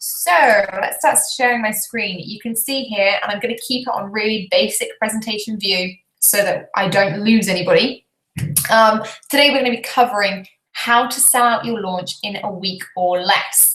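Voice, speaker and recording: A woman with a British accent speaks at a moderate pace, her fairly high pitch showing ordinary variation and a bright, sharp tone. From Britain. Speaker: business coach. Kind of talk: webinar presentation. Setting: live video stream. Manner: animated.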